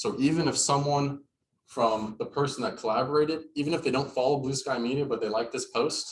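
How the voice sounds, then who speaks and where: A somewhat breathy man with a fairly high pitch, a fairly quick pace and ordinary pitch variation. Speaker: social media marketing presenter. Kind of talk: workshop presentation. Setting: in-person workshop also streamed on video call. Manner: fast.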